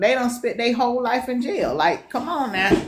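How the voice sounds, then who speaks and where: A woman speaks at a fairly quick pace in a strong Southern accent. Her pitch is high, and background noise is noticeable. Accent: strong Southern twang. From US Deep South. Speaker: co-host of a talk show. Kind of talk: casual discussion. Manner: animated.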